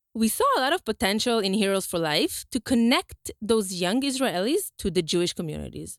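A woman speaks at a fairly high pitch and a moderate pace. Her voice sounds dry and close, with no echo. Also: hardly any pauses. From Brazil. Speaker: community organization chair. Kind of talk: interview.

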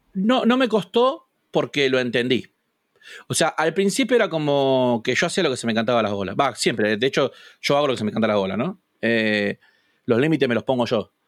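A man with a Rioplatense accent talks fairly quickly at medium pitch with lively intonation. The recording is very clean with a silent background and a dry, close sound with no echo. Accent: Argentine Rioplatense Spanish. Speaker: youtuber and gamer. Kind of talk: casual interview.

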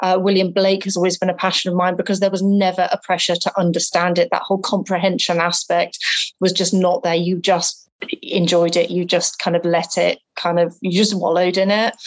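Speaking in an English accent, a woman keeps her loudness very even and her intonation monotone and flat. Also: medium pitch for a woman, fairly quick pace. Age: 40s. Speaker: bookseller and artist. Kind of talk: interview.

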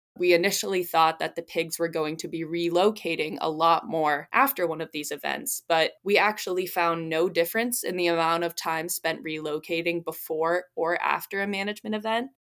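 In a very clean recording with a silent background, a woman uses a normal speaking voice, fairly low in pitch with ordinary pitch variation, at a moderate pace with hardly any pauses. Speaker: student researcher. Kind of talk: interview.

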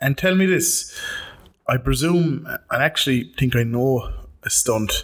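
A man's fairly slow speech broken by long, frequent pauses. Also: very even loudness. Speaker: podcast host. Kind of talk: casual interview chat. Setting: studio.

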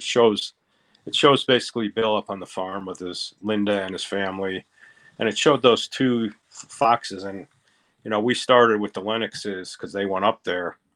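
A man's fairly low voice with an American accent, fairly even intonation and a moderate pace, in a dry, close sound with no echo. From Pennsylvania, US. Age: 60s. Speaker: conspiracy theory enthusiast, online group admin. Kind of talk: casual interview.

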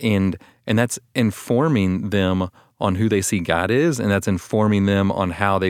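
Recorded very cleanly against a silent background, a man with an American accent talks at a moderate pace in a normal speaking voice, his fairly low pitch showing ordinary variation. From Texas, Austin. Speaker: pastor. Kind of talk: casual chat. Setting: studio.

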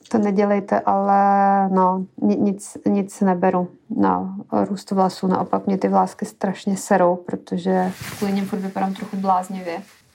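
Over music in the background, a woman at medium pitch speaks at a fairly slow pace in a monotone, flat intonation. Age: 30s. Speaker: podcast co-host. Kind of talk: casual chat.

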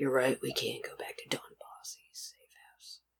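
A man is doing a put-on character voice. His pitch is extremely high. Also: moderate pace. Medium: actual play.

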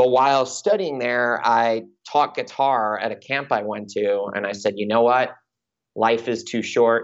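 At a fairly slow pace, a man with an American accent speaks in an unremarkable speaking voice, medium in pitch with fairly even intonation. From US Northeast, Long Island, New York. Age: 30s. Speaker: music manager and podcast host. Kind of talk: casual interview chat.

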